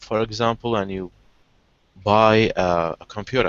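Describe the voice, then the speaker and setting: This speaker is a man with an Arabic accent. He moves at a fairly slow pace. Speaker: online language session host. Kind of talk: casual conversation practice. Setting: video call. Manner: halting, many repetitions.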